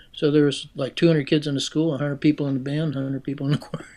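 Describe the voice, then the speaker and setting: Against a quiet background, a man with an American accent speaks in a fairly high, monotone, flat voice. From western Pennsylvania, Pittsburgh area. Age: 70s. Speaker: retired music professor and keyed bugle performer. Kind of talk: interview conversation. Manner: halting, many fillers.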